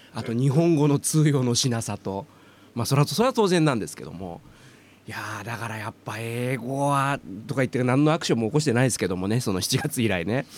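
At a fairly quick pace, a man in a plain, everyday voice speaks at a medium pitch with lively intonation and big swings in loudness. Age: 50s. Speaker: podcast host and voice trainer. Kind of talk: casual chat.

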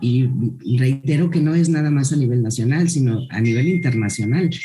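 Music plays in the background as a woman speaks with lively intonation amid audible room echo. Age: 50s. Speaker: school director. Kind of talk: interview.

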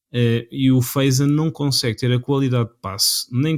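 Here a man talks at a medium pitch and a moderate pace with fairly even intonation. The sound is dry and close with no echo, on a very clean recording with a silent background. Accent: European Portuguese. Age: 20s. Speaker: football podcast co-host. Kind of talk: casual chat. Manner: halting.

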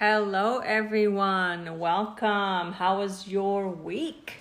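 In a Spanish accent, a woman speaks at a very slow pace with ordinary pitch variation, with audible room echo around her. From Mexico. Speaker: podcast co-host. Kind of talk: casual chat.

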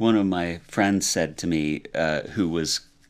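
On a very clean recording with a silent background, a man with an American accent speaks in a very deep, low pitch with ordinary pitch variation. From Utah, Salt Lake City. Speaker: property manager and marriage and family therapist. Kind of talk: interview.

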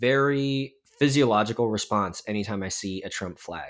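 A man with an ordinary speaking voice speaks at a medium pitch and moderate pace, with ordinary pitch variation. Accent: American. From Texas, Dallas suburbs. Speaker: church worship director and podcaster. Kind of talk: podcast interview. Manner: many fillers (um, uh).

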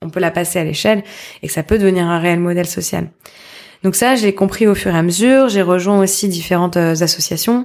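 A woman with an ordinary speaking voice and a fairly low pitch talks at a moderate pace. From Paris. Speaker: social entrepreneur. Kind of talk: interview conversation.

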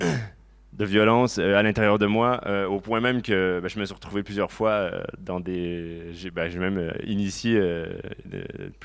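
Hardly pausing at all, a man speaks at a very slow pace with fairly even intonation. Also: fairly low pitch for a man. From Quebec, Laurentides. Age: 30s. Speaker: churchgoer giving testimony. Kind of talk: testimony.

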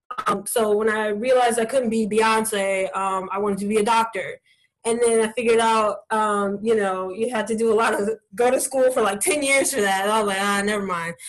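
Fairly quick and fairly high, a woman with an American accent talks in a normal speaking voice with fairly even intonation. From Columbus, Ohio. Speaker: community group organizer. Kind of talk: casual interview. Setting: video call.

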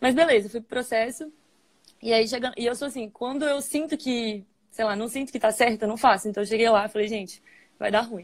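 A woman's fairly high voice at a fairly quick pace with ordinary pitch variation, an ordinary speaking voice. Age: 20s. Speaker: engineering trainee at a brewing company. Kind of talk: interview on a live stream. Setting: online live stream.

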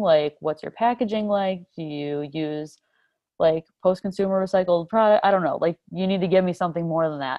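A woman speaks fairly quickly in an unremarkable speaking voice, pitched fairly low with ordinary pitch variation. Her loudness swings widely. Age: 20s. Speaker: sustainability influencer. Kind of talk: casual chat.

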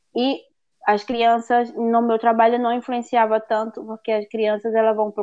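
A woman's voice at a moderate pace. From Northeast Brazil, Fortaleza. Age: 30s. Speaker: au pair. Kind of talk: interview. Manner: halting.

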